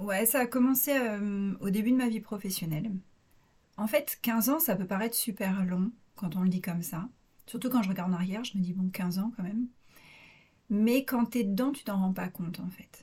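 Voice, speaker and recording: A woman speaks at a moderate pace with a medium pitch, ordinary pitch variation and a dark, mellow tone. Her voice is somewhat breathy, with long, frequent pauses. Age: 30s. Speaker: naturopath. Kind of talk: interview testimony. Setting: recording at host's home.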